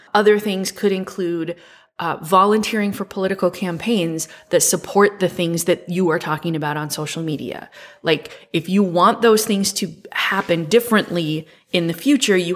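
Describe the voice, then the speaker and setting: A woman with a plain, everyday voice speaks at a medium pitch and a moderate pace. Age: 40s. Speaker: podcast co-host. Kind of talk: casual chat.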